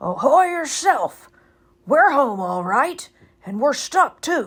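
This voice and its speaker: A woman's put-on character voice, high and raspy, at a very slow pace with very wide pitch swings. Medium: read story.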